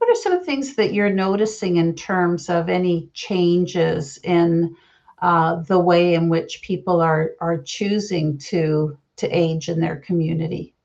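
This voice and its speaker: This woman has a normal speaking voice, pitched fairly low. Her loudness is very even and her intonation fairly even. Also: fairly slow pace. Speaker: podcast host, nonprofit CEO. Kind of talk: podcast interview questions.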